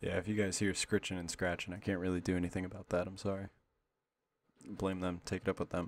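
A man speaks quietly in a very deep, low voice. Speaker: YouTuber reacting to videos. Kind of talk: casual reaction commentary. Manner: quiet, kept low.

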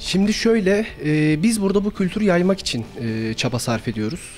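A man's voice over faint music in the background. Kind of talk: interview answer. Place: cafe. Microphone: handheld.

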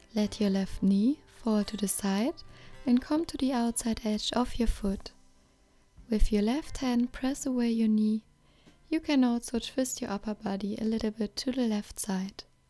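A woman talks at a moderate pace with ordinary pitch variation. Faint music can be heard in the background. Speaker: yoga instructor. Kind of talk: tutorial. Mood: calm, friendly. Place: open country.

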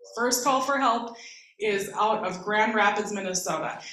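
This woman's pitch varies in an ordinary way. Her voice carries audible room echo. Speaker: guest. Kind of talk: talk at a community forum.

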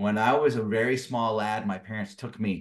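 A man talks fairly slowly. Behind him, the background stays quiet. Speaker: guest. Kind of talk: interview answer. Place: home room. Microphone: video call.

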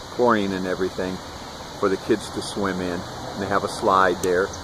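The man speaks at a fairly quick pace. The sound is dry with no echo, though background noise is noticeable. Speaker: vlogger. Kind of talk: casual vlog chat. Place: waterside. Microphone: phone near.

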